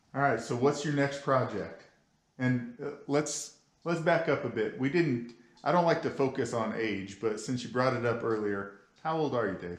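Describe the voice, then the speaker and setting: Audible room echo surrounds a man speaking at a moderate pace. His pitch is medium, with ordinary variation. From Oklahoma. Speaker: car show host. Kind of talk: interview.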